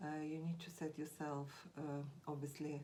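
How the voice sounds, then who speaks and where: A woman with a Russian accent speaks at a moderate pace in a very deep, low pitch and a dark, mellow tone, with audible room echo. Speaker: language teacher. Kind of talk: tutorial. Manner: halting, with frequent fillers.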